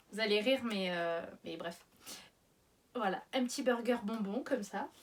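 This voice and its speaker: Speaking fairly slowly, a woman uses a fairly high pitch with ordinary pitch variation. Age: 30s. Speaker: YouTuber. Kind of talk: casual vlog.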